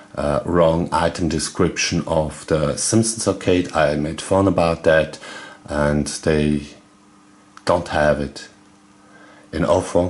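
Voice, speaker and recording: With a German accent, a man of very deep, low pitch speaks at a very slow pace with fairly even intonation and long, frequent pauses. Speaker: video game YouTuber. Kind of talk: casual video commentary. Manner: halting, many fillers.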